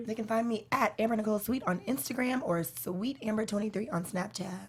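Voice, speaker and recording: A woman talks fairly quickly in a fairly high, somewhat breathy voice, her pitch varying in an ordinary way. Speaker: singer and actress, show guest. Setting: live show.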